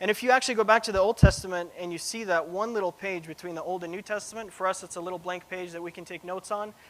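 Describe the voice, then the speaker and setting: A man's very fast delivery, high in pitch, with fairly even intonation. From Russia, moved to US as a child; grew up in Cincinnati and Seattle. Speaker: preaching student. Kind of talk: sermon; personal testimony. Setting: church. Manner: casual, many fillers.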